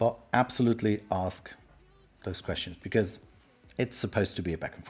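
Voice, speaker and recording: A man with a fairly low pitch sounds somewhat breathy, his loudness swinging a lot. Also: ordinary pitch variation, fairly quick pace. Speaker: tech speaker and livestream host. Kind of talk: live-streamed presentation. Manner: fast.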